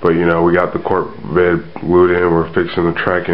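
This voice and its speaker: Noticeable background noise behind a man's very deep, low voice at a moderate pace. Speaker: model railroad hobbyist. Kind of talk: casual talk to camera.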